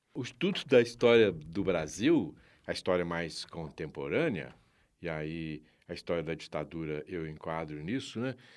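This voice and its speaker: Over a silent background in a very clean recording, a man talks at a fairly slow pace with a very deep, low pitch and lively intonation. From Minas Gerais, Brazil (Sabará, near Belo Horizonte). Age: 70s. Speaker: activist and parliamentary aide. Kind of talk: interview.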